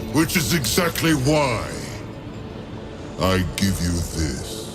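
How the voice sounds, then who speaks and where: Over loud background noise, a man does a put-on character voice at medium pitch and a very slow pace. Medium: video game. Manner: measured, cryptic.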